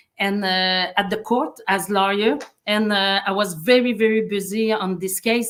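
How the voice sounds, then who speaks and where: A woman talks with a strong French Canadian accent. Her pace is fairly slow and her intonation fairly even. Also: medium pitch for a woman. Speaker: human rights advocate and former lawyer. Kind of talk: interview. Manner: halting, many fillers and restarts.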